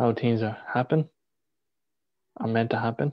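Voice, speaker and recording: The intonation stays fairly even as a man speaks at a moderate pace. Nothing much is heard behind him. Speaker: spiritual healer. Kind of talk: guided meditation. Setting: live video stream. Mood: calm, soothing. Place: home room. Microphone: video call.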